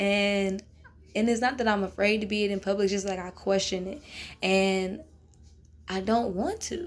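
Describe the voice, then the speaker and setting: At a moderate pace, a woman speaks in an animated tone at medium pitch, leaving long, frequent pauses. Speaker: podcast host. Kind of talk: casual vlog monologue. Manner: loud.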